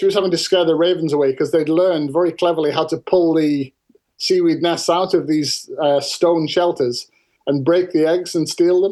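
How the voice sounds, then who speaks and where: A high-pitched man with a dark, mellow tone, very even loudness, fairly even intonation and a moderate pace. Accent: Cumbrian. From northern England. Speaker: farmer and author. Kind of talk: interview storytelling.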